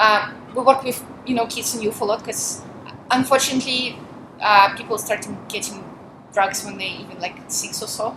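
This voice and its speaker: With a Russian accent, a woman talks at a fairly high pitch with fairly even intonation, big swings in loudness and long, frequent pauses, over noticeable background noise. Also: moderate pace. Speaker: volunteer minister. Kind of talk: interview. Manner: talkative.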